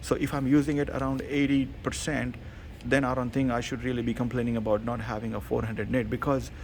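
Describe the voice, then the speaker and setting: A man of medium pitch speaks at a very fast pace with vocal fry. His intonation stays fairly even. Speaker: tech reviewer. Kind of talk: product review. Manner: hesitant, many fillers.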